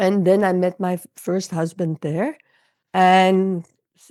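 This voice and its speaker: The recording is very clean, with a silent background and a dry, close sound with no echo. A woman speaks in a fairly low voice with a Dutch accent. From Netherlands. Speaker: intuitive coach and healer. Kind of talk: interview.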